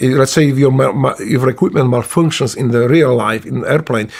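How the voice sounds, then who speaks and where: A man's medium-pitched voice with a Polish accent, fairly quick and fairly even in intonation. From Poland. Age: 60s. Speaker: retired Navy SEAL. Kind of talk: casual interview storytelling. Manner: halting, many fillers and restarts.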